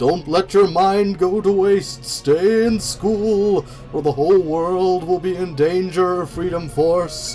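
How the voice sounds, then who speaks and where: Clear music plays behind a man doing a put-on character voice. He speaks at a fairly slow pace and a high pitch. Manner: earnest, public-service-announcement style.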